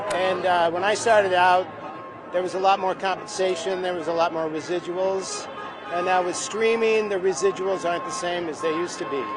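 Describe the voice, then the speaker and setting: A man's high-pitched voice at a fairly quick pace, fairly even in intonation, with audible room echo and music in the background. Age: 60s. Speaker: actor. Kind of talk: street interview. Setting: outdoors at picket line.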